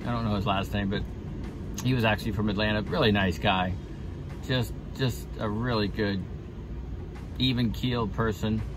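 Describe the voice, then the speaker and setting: A man speaks at a moderate pace in a fairly low pitch, leaving long, frequent pauses. The sound is dry with no echo, and music plays in the background. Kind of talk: casual vlog chat. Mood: relaxed, reflective.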